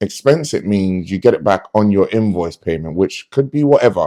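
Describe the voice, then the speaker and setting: At a fairly quick pace, a man with a dark, mellow tone and fairly low pitch speaks with lively intonation in a dry, close sound with no echo. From London. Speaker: close protection officer. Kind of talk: casual storytelling monologue.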